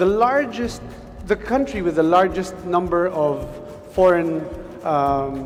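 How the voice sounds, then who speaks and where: A man's high voice, fairly slow and with lively intonation, with audible room echo and music in the background. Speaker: business executive, seminar speaker. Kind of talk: seminar talk. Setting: conference hall with audience.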